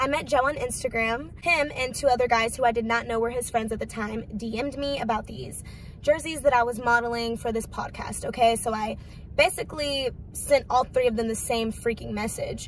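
A woman with a high pitch speaks at a moderate pace and fairly even intonation, the sound dry with no echo and light background noise. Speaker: vlogger. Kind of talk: casual vlog chat. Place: car. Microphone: phone near.

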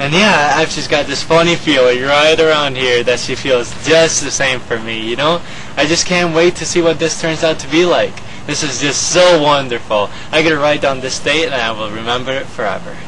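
Noticeable background noise sits under a man's voice, whose pitch varies in an ordinary way. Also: moderate pace. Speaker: comedy sketch actor. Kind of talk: comedic sketch monologue. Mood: giddy, lovestruck, playful. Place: street.

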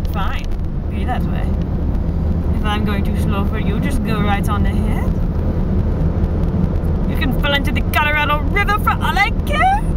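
Amid loud background noise, a woman speaks at a fairly slow pace in a dry sound with no echo. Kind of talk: casual vlog chat. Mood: playful, excited. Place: car. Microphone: phone near.

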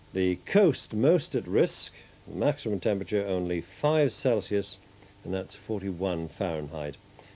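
A man's fairly low voice, warm and dark, mellow in tone, with lively intonation. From northeast England. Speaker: television continuity announcer. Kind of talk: TV weather report within closedown announcements. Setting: TV studio. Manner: smooth, warm, measured; friendly, chatty, slightly informal. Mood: warm, friendly late-night tone.

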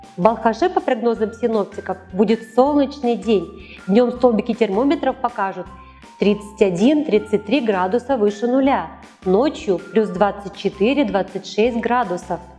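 Faint music plays behind a woman whose voice sits fairly high. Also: ordinary pitch variation, moderate pace. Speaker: weather presenter, TV announcer. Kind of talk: TV weather forecast presentation. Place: studio. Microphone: lapel.

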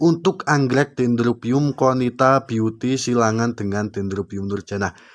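Upbeat in tone, a man speaks at a moderate pace with ordinary pitch variation. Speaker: orchid seller vlogger. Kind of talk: street-seller style sales pitch. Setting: video channel, solo to camera. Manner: upbeat, promotional, direct address to viewers. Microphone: phone near.

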